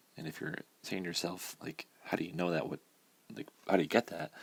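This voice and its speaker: A man speaks. He is whispering. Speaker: math teacher. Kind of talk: tutorial. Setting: at home early morning.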